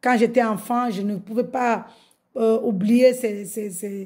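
A woman's somewhat breathy, dark, mellow voice, fairly high in pitch, with fairly even intonation and a very slow pace, over a quiet background. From Mayotte. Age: 50s. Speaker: religious convert. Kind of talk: testimony. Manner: halting. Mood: joyful, fervent. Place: home room. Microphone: phone near.

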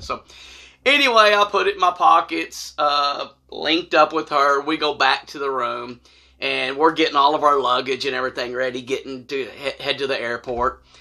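A man talks at a medium pitch and moderate pace, his intonation fairly even. His tone is bright and sharp, with vocal fry.

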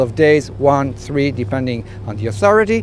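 A man talks at a moderate pace with very wide pitch swings. The sound is dry with no echo, over light background noise. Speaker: sailing instructor. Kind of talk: tutorial. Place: boat. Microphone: lapel.

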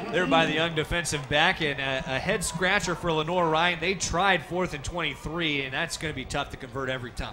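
A man talks at a high pitch over noticeable background noise. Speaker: football play-by-play broadcaster. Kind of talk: sports play-by-play commentary, demo reel. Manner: fast, energetic.

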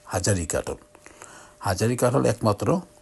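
A fairly low-pitched man with noticeable background noise. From Bangladesh, Brahmanbaria. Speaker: video blogger. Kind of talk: casual vlog narration. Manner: halting.

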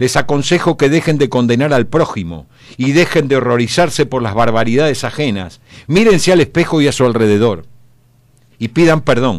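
A man's medium-pitched voice at a moderate pace, with lively intonation and vocal fry. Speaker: radio columnist. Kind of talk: opinion column. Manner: animated.

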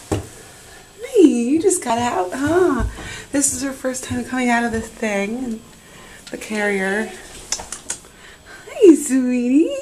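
A woman speaks very slowly in a high voice, with lively intonation and long, frequent pauses. Light background noise can be heard. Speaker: mother. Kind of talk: casual talk to pet. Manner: baby voice to pets. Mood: warm, excited. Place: bathroom. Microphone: phone near.

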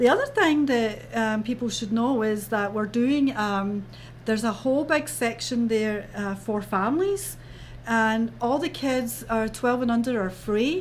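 Speaking fairly slowly, a woman with a Scottish accent has a fairly high, somewhat breathy voice with ordinary pitch variation. Light background noise runs underneath. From Scotland. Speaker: festival organizer. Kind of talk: interview. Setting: studio. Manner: animated. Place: studio.

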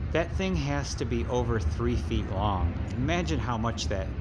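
A man at a very slow pace against loud background noise. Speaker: urban explorer narrator. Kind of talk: casual tour commentary. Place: street. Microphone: phone near.

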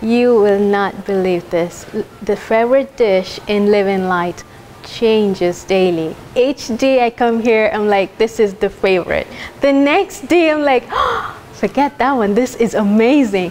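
Over music in the background, a woman with a fairly high pitch talks at a fairly slow pace, with very even loudness and ordinary pitch variation. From Kenya. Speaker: culinary school graduate. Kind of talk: testimonial. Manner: animated. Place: hall. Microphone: lapel.

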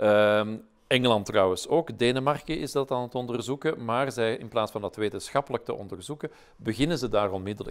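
Here a man speaks at a medium pitch with ordinary pitch variation and a fairly quick pace. His loudness swings widely against a quiet background. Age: 60s. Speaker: professor, vaccine expert; professor. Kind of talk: interview. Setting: webinar. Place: studio. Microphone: lapel.

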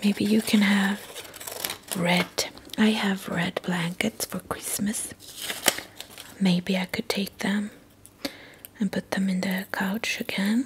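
Soft-spoken and gentle in tone, at a very slow pace with long, frequent pauses, over light background noise. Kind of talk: soft calm craft talk, ASMR-like. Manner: soft-spoken, gentle ASMR murmur. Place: home room. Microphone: camera far.

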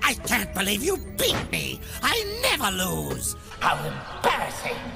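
Clear music plays in the background as a man puts on a character voice, high-pitched with vocal fry and very wide pitch swings, at a fairly slow pace.

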